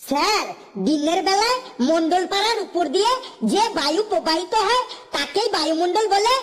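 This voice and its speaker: A woman performs a cartoonish character voice at an extremely high pitch, with lively intonation and a moderate pace. Her loudness stays very even, and light background noise is present. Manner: pleading, deferential.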